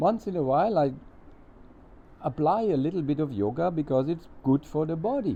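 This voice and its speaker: A man with a dark, mellow tone and lively intonation, at a moderate pace with long, frequent pauses. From Germany. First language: German. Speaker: spiritual teacher. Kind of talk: satsang talk with consecutive interpretation. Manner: halting.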